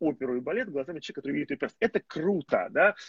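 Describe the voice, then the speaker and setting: A man talking at a very fast pace, with ordinary pitch variation and a dry, close sound with no echo. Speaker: literary critic and journalist. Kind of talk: casual conversation. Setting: call.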